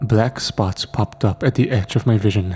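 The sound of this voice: A man talks at a moderate pace in a fairly low pitch with ordinary variation. His tone is dark and mellow with a slightly husky edge.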